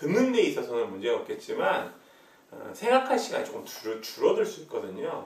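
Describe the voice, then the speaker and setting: The speaking goes at a moderate pace. There is audible room echo. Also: man. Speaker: university lecturer. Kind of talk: recorded lecture. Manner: hesitant, many filler sounds.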